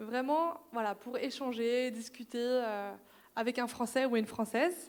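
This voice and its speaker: A woman speaks at a fairly slow pace in a high pitch with ordinary pitch variation. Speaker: cultural institute staff presenting programs. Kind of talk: information session presentation. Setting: institute event, streamed live.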